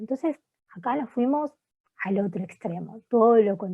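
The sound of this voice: A woman's medium-pitched voice with a slightly husky edge, lively intonation and a moderate pace.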